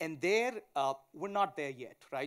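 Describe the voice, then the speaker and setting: The voice carries a strong Indian accent, captured in a very clean recording with a silent background. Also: man. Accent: thick Indian. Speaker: tech company founder and CEO. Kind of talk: conference panel talk. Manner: fast.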